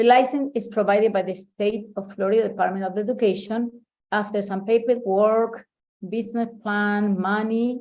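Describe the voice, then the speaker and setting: A woman's fairly high voice with monotone, flat intonation. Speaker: meeting presenter. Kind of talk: presentation. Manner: fast.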